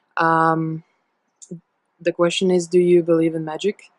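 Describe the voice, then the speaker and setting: A woman's fairly low voice with a Latvian accent. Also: dry, close sound with no echo. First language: not English (third language). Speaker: storyteller sharing a personal testimony. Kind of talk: testimony. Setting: self-recorded video. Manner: halting, with many fillers.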